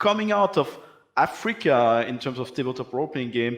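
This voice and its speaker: A man with a French accent, moderate pace and lively intonation. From Belgium. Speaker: panel moderator. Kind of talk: panel discussion.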